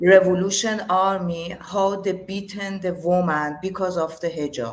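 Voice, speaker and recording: A woman speaks at a medium pitch with a Persian accent. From Iran, Tehran. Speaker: yoga teacher. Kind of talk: interview, personal testimony. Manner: halting. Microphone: too quiet.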